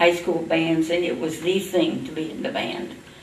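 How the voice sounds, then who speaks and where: A woman talks at a fairly low pitch with fairly even intonation. Both room echo and background noise are noticeable. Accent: American. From US Midwest, Indiana. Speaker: oral history interviewee. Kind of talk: oral history interview. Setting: library.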